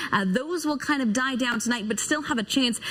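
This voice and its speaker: Over noticeable background noise, a woman speaks. Her pitch is high. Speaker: weather anchor and reporter. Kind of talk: TV weather forecast. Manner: polished, upbeat, broadcast delivery.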